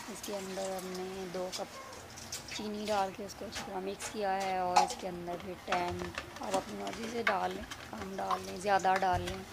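Over loud background noise, a woman speaks at a very slow pace with hardly any pauses. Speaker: cooking vlogger. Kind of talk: cooking tutorial. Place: kitchen. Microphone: phone near.

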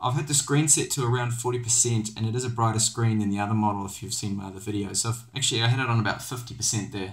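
At a very fast pace, a man talks in a somewhat breathy voice. His pitch is medium and his intonation fairly even. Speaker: tech reviewer. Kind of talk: tutorial. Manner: casual, hesitant with fillers.

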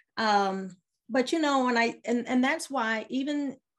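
Ordinary pitch variation with an American accent. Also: woman. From US military family, raised abroad. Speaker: business mentor and realtor; interview guest. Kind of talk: casual interview. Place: home room. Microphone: video call.

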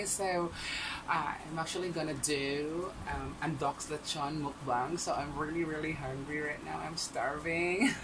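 Speech comes at a fairly slow pace. Noticeable background noise is present. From Visayas, Philippines. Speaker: mukbang vlogger. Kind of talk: casual talk to camera. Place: home room. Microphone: webcam.

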